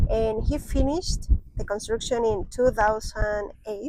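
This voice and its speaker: Noticeable background noise sits under a woman's fairly high voice. She speaks at a very slow pace with fairly even intonation. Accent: Spanish. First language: Spanish. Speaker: travel vlogger. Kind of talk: casual chat.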